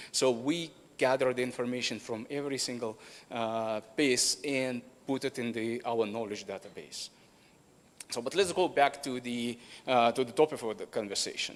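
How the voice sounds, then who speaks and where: A man talks at a moderate pace in a plain, everyday voice, medium in pitch with ordinary pitch variation. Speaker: company representative presenting at a conference. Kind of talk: conference presentation.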